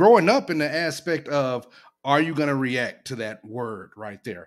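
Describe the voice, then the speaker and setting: With an American accent, a man speaks in a medium pitch and lively intonation, an unremarkable speaking voice. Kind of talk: heated debate.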